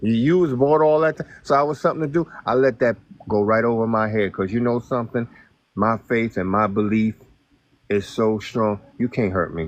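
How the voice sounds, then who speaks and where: At a moderate pace, a man speaks in an unremarkable speaking voice of medium pitch with ordinary pitch variation. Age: 60s. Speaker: guest on a live stream. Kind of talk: casual chat.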